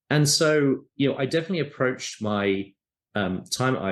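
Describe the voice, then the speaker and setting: A British-accented man speaking at a fairly quick pace, with lively intonation. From UK. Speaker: tech company founder and CEO. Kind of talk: interview.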